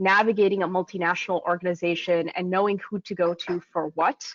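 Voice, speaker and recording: An ordinary speaking voice at a fairly quick pace, with an American accent. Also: woman. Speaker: recruitment manager. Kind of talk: webinar panel discussion.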